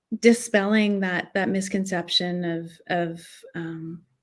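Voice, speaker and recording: A woman at a medium pitch. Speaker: actress and hypnotherapist. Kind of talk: casual chat. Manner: hesitant, many filler words.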